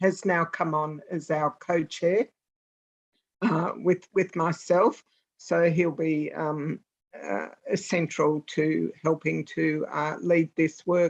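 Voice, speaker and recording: Speaking very slowly, a woman with an Australian accent keeps a fairly low pitch and fairly even intonation. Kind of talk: online meeting update. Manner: quiet.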